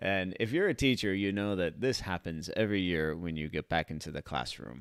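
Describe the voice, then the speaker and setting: Speaking at a fairly quick pace with lively intonation, a man with a very deep, low pitch is captured in a dry, close sound with no echo on a very clean recording with a silent background. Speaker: vlogger and teacher. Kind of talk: live stream chat. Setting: live stream.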